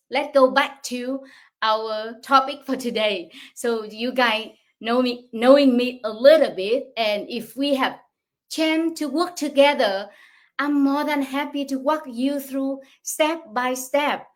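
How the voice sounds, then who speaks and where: Speaking very slowly with a Vietnamese accent, a woman uses a high pitch and ordinary pitch variation. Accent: non-native English, Vietnamese. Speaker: online business coach. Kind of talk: livestream talk. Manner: halting.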